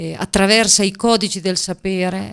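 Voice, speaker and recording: Fairly slow speech from a woman with ordinary pitch variation against a quiet background. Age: 50s. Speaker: teacher and regional election candidate; teacher, election candidate. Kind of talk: political interview. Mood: earnest, persuasive. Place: studio. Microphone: studio mic.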